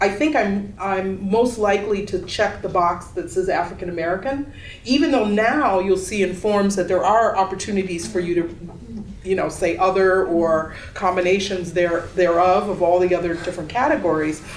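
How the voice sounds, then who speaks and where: A woman at a medium pitch and moderate pace, with ordinary pitch variation, noticeable background noise and audible room echo. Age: 60s. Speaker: exhibiting artist. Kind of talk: panel discussion. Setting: gallery panel with audience.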